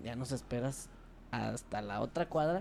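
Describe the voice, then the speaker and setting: A man speaks at a medium pitch. His pitch varies in an ordinary way. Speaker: podcast co-host. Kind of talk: casual chat.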